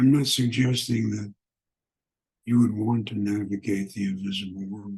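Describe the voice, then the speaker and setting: A man's somewhat breathy, fairly low voice at a moderate pace, with fairly even intonation and long, frequent pauses. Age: old. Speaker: spiritual teacher and author. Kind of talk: spiritual teaching talk.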